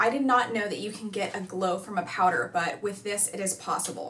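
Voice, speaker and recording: Against noticeable background noise, a woman speaks at a fairly quick pace with ordinary pitch variation. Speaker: beauty YouTuber. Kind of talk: casual talk to camera.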